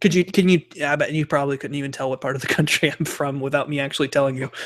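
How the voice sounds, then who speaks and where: Someone speaks very fast with an American accent. The intonation stays fairly even. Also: man, fairly high pitch for a man. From US, Central time zone. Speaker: YouTube host. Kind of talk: casual chat. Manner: halting, stammers.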